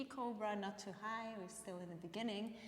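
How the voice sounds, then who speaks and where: At a fairly quick pace, a woman speaks in a calm tone at a medium pitch. Noticeable background noise can be heard. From Switzerland, Bern region. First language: Bernese Swiss German. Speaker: yoga teacher. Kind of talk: guided yoga class. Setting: live stream. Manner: calm instructive.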